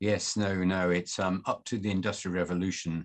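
A man's very deep, low voice with a Mancunian accent, fairly even intonation and a quiet background. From northern England, Manchester. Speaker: journalist and author. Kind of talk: interview.

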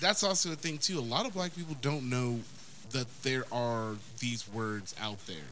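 A man's bright, sharp voice at a medium pitch and moderate pace, lively intonation and audible room echo. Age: 30s. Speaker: podcast co-host. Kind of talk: casual chat.

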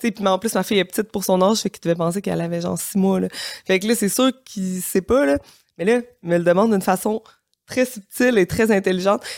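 Someone speaks at a very fast pace with ordinary pitch variation, the sound dry and close with no echo on a very clean recording with a silent background. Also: woman, medium pitch for a woman. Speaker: single mother by choice, lawyer. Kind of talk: casual interview. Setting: studio.

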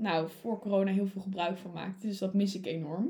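A somewhat breathy woman's voice at medium pitch, with fairly even intonation. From Netherlands, Utrecht. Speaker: student council member, podcast co-host. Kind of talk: casual chat. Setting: studio.

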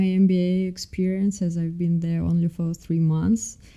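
A woman in a Russian accent speaks at a fairly slow pace. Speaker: MBA student.

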